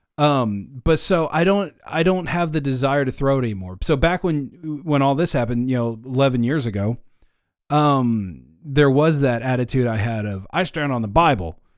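A man with an ordinary speaking voice talks at medium pitch and a moderate pace. His intonation is lively, and the recording is very clean with a silent background. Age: 30s. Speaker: podcast host. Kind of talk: casual chat.

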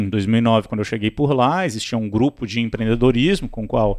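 At a fairly quick pace, a man talks in a plain, everyday voice. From Brazil, Minas Gerais and Brasília. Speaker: startup CEO. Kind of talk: interview.

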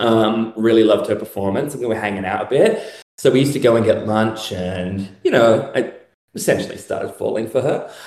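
Audible room echo hangs around the voice. The man keeps a moderate pace. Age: 30s. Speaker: self-identified real-life vampire. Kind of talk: casual interview chat.

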